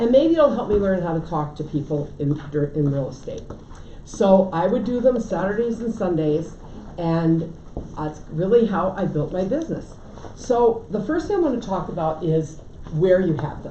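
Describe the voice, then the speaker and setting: A woman with an American accent speaks at a medium pitch and a moderate pace with lively intonation, over noticeable background noise and audible room echo. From Connecticut. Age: 70s. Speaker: real estate agent and trainer. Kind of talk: lecture. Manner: casual.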